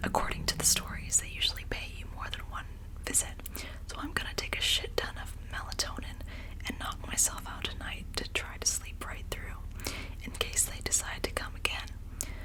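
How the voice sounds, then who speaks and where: Someone whispers at a moderate pace. Noticeable background noise sits behind the voice. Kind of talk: ASMR scary story reading. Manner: soft-spoken, whispered.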